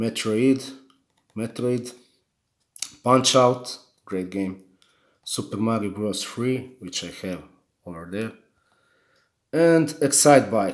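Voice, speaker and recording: A man with a strong non-native accent at medium pitch, very slow and full of long, frequent pauses, with ordinary pitch variation and big swings in loudness. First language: not English. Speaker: gaming YouTuber. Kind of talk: unboxing video. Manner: halting, many repetitions.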